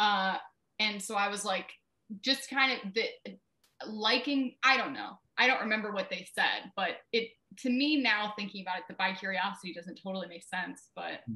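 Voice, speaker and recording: At a moderate pace, a woman with a Midwestern US accent and a bright, sharp tone speaks at a fairly high pitch with ordinary pitch variation. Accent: US Midwest. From Ohio, Brunswick near Cleveland. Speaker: writer and publisher. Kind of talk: interview.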